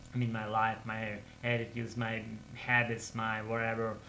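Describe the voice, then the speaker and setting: A man talks at a medium pitch with a bright, sharp tone. Audible room echo surrounds his voice. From Russia. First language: Russian. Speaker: English learner vlogger. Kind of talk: casual monologue vlog. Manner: halting, with repetitions and fillers.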